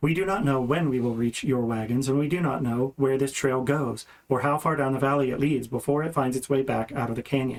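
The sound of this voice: Just an unforced reading voice.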